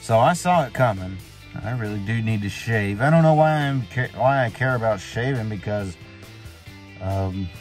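Faint music plays in the background of a dry recording with no echo. A man speaks at a moderate pace. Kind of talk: casual vlog rant. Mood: annoyed, venting about family. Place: car. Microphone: phone near.

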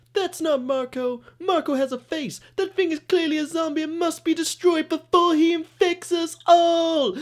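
In a put-on character voice with extremely high pitch, the speaker moves at a moderate pace. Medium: comedy sketch. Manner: hyper, alarmed, overdramatic.

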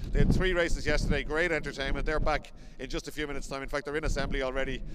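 Loud background noise fills the recording. Over it, a man talks at a very fast pace. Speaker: race commentator presenter. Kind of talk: commentary. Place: open country. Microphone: handheld.

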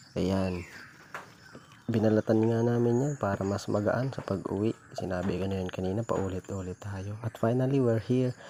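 At a moderate pace, a man with a normal speaking voice talks with fairly low pitch and fairly even intonation. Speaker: vlogger. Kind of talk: casual vlog narration.

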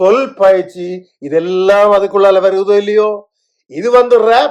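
A man speaks with a Sri Lankan accent. His pitch is high. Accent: Sri Lankan Tamil. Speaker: video blogger. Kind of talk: casual chat. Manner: halting.

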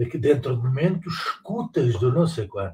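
A man with a European Portuguese accent at a fairly slow pace, with very wide pitch swings and vocal fry. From Portugal. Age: 60s. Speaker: political commentator. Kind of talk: casual monologue. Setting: live stream on exercise bike. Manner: hesitant, repeats words. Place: home room. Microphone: webcam.

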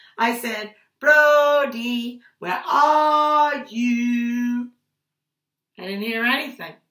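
A woman speaks in a high, bright and sharp voice with an animated, warm tone and ordinary pitch variation, with audible room echo against a quiet background. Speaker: preschool teacher. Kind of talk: picture-book storytelling for small children. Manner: animated, sing-song voice acting out calls and ouches; warm, slow, playful teacher tone addressing toddlers. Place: home room. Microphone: webcam.

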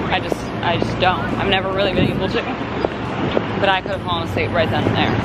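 Crowd noise fills the background as a woman talks at a fairly quick pace. Her voice sounds dry, with no echo. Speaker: lifestyle vlogger. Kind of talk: casual vlog chat. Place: street. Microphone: phone near.

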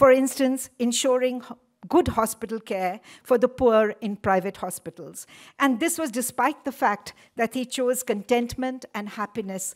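Speaking at a moderate pace, a woman shows ordinary pitch variation. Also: quiet background. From India. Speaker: event organizer. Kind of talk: formal welcome speech. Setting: lecture hall with audience. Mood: warm, reminiscent. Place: hall. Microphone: podium.

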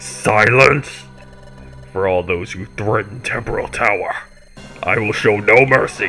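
A man growls through a put-on character voice, pitched fairly low. He goes at a fairly slow pace over clear music in the background. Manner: commanding, merciless.

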